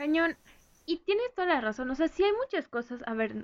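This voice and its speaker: A woman at a moderate pace. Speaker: podcast co-host. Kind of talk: casual chat.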